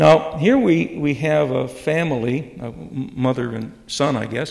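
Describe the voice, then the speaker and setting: Lively intonation and vocal fry mark a man with an American accent and fairly high pitch, who speaks at a fairly slow pace in a room with audible echo. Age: 70s. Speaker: retired professor. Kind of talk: lecture. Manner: halting.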